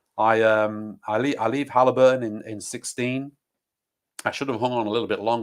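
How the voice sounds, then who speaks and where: The recording is very clean, with a silent background. A man with an English accent talks at a very fast pace. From England, Nottingham. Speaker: oil and gas sales manager. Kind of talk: interview. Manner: talkative, fast.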